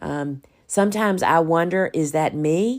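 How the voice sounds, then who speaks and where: A woman with a very deep, low voice and a Southern US accent speaks at a fairly slow pace. The recording is very clean, with a silent background. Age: 60s. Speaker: podcast host and flower farmer. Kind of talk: solo podcast monologue.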